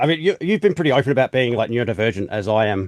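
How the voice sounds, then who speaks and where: A man's medium-pitched voice with an Australian accent, dry and close with no echo, over a quiet background. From South Australia. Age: 40s. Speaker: podcast host. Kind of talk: casual interview chat.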